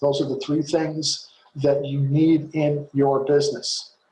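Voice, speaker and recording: This man has a fairly high pitch and a somewhat breathy sound. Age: 60s. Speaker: network marketing coach. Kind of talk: webinar training talk. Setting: video call.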